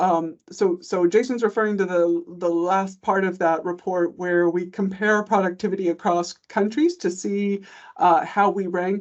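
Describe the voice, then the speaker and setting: A woman with an American accent uses a plain, everyday voice, with medium pitch, fairly even intonation and a moderate pace. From United States. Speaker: economist, government commissioner. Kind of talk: panel conversation.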